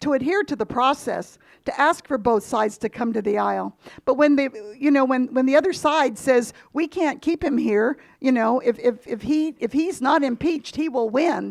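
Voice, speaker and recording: On a very clean recording with a silent background, a woman speaks at a high pitch and moderate pace with ordinary pitch variation. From Guam. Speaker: political party committee member. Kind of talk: Q&A after a public talk.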